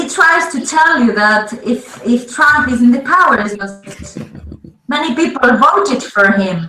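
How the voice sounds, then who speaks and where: In a raised, projected voice with very wide pitch swings, a woman with a Spanish accent speaks at a high pitch and very slow pace, with audible room echo. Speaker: interpreter and co-host. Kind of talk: casual chat with live interpretation. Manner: halting.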